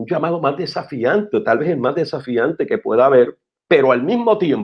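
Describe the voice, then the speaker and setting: Moderately paced speech from a man, high in pitch and lively in intonation. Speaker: pastor. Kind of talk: interview about preaching. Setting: live-streamed talk show.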